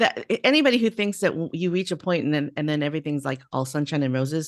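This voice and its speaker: A woman with an American accent, fairly low in pitch, talking at a very fast pace with very wide pitch swings. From US West Coast. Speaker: podcast host. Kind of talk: interview.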